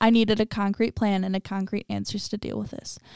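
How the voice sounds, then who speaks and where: On a very clean recording with a silent background, a woman with an ordinary speaking voice talks at a fairly quick pace, a medium pitch and fairly even intonation. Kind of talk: reading stories aloud.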